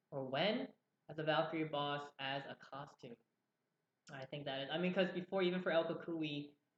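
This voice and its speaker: The speaker uses a New Jersey accent and talks at a moderate pace. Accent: New Jersey American. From US, New Jersey. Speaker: game community manager. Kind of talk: live Q&A stream. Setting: live stream.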